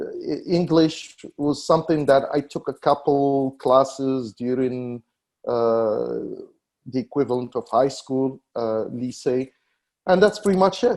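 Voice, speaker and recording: Against a quiet background, a man talks with a North African accent. His pitch is fairly high and his pace very slow. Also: ordinary pitch variation. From Morocco. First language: Berber. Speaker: tech company founder. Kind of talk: interview. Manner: halting, many fillers and repetitions.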